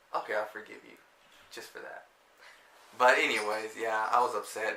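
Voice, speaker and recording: A man's voice with audible room echo. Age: 20s. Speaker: vlogger. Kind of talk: casual chat.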